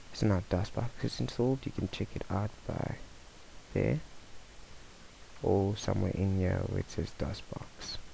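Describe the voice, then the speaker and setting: Soft-spoken and fairly slow, a man with a fairly low pitch uses lively intonation and leaves long, frequent pauses. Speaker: tech tutorial youtuber. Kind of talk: screencast tutorial. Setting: at home late at night. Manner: casual.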